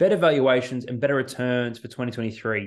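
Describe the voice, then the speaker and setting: This man has an Australian accent and ordinary pitch variation. His pace is fairly quick. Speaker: financial planner. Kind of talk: solo economic update podcast. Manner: casual, conversational with fillers.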